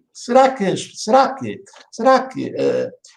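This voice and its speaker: A man with a European Portuguese accent speaks at a very slow pace. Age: 60s. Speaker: vlogger. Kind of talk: opinion monologue. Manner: halting, many fillers and repeats.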